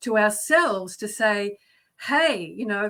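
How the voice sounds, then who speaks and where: This woman talks in an Australian accent. Her fairly high voice has a bright, sharp tone. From Australia, Melbourne. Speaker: guest. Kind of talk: casual chat. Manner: halting, many fillers.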